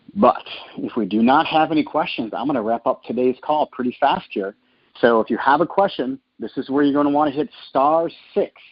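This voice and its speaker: Speaking with an American accent, a man has a fairly high voice and lively intonation. He keeps a fairly quick pace. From northern Minnesota. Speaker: franchise sales executive. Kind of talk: conference call Q&A. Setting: phone conference call. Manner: casual, filler-heavy with uh.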